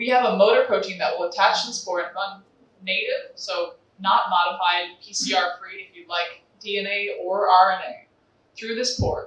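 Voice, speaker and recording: Delivered at a moderate pace with an American accent. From US, New York. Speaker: sales representative for a sequencing company. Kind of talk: conference talk.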